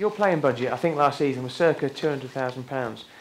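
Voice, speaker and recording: Noticeable background noise sits behind a man with a southern English accent. His pitch is fairly high and his pace fairly quick. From southern England. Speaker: interviewer. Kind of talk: stage interview.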